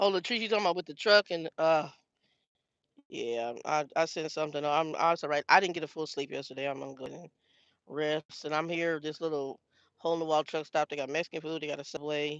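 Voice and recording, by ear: Ordinary pitch variation, a fairly quick pace and a fairly bright tone. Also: dry, close sound with no echo.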